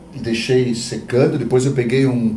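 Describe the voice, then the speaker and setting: Noticeable background noise is present. A man talks amid audible room echo. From southern Brazil, Santa Catarina (Blumenau). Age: 60s. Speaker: visual artist, podcast co-host. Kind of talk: casual chat, personal life story.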